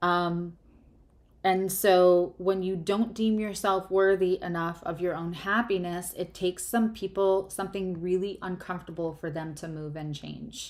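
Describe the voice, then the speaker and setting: Over a silent background in a very clean recording, a woman with an American accent speaks at a fairly slow pace and medium pitch, her intonation fairly even but her loudness swinging widely. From US Northeast, New York. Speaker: tarot reader and astrologer. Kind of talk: live tarot reading. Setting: livestream. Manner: careful, deliberate.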